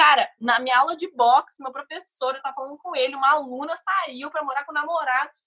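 A woman speaks in a raised, projected voice. Her pace is fairly quick. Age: 20s. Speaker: podcast guest. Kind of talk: casual interview chat.

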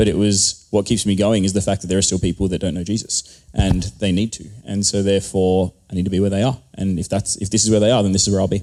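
A man speaks with an Australian accent and a dark, mellow tone. His pitch is fairly low and his intonation fairly even. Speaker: pastor and online content creator. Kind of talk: panel discussion live. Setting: stage with audience.

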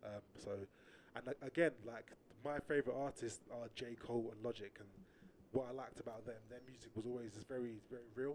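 A man with an unremarkable speaking voice talks at a medium pitch and a fairly quick pace. His intonation stays fairly even while his loudness swings widely. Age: 30s. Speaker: rapper and music studio founder. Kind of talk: casual chat.

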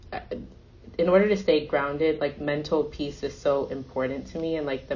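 A fairly quick pace with fairly even intonation. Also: woman. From US, Nigerian immigrant family. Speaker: cybersecurity company CEO. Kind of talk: interview conversation.

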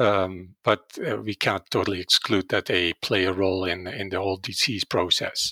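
With a Dutch accent, a man at a fairly low pitch speaks at a fairly slow pace in a bright, sharp tone. The recording is very clean and silent in the background, with a dry, close sound and no echo. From Netherlands. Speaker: veterinary virology professor. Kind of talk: interview. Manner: halting, many filler words.

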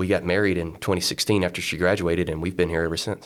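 A man with an American accent talks at a very fast pace in a very deep, low voice with monotone, flat intonation. The recording is very clean, with a silent background. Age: 30s. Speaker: coffee shop owner. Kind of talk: casual interview. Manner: halting, repeats words.

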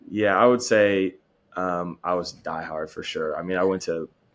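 With an American accent, a man speaks at a moderate pace in a very deep, low pitch, on a very clean recording with a silent background. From Oklahoma, Stillwater and Enid. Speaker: college football player. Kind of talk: interview. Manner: hesitant, many fillers.

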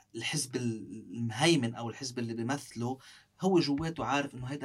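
This man's moderate pace pairs with lively intonation and a somewhat breathy voice. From South Lebanon. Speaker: parliamentary candidate and law professor. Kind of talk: interview.

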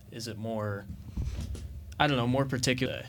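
Audible room echo colors a man's medium-pitched voice. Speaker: student podcast host. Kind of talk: interview.

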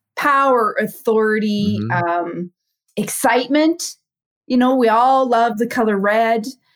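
A woman with a Canadian accent has an unremarkable speaking voice, fairly high in pitch with ordinary pitch variation. She speaks at a fairly slow pace. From Saskatchewan, Canada. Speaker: former police officer turned private investigator and speaker. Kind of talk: casual interview chat. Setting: video call.

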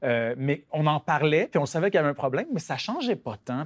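Talking at a very fast pace, a man uses lively intonation. The sound is dry and close with no echo, in a very clean recording with a silent background. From rural Quebec. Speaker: novelist. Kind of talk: interview.

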